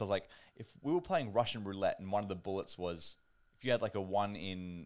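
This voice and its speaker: A man with an Australian accent talks at a fairly low pitch. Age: 20s. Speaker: podcast host. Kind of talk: casual chat. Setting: online call.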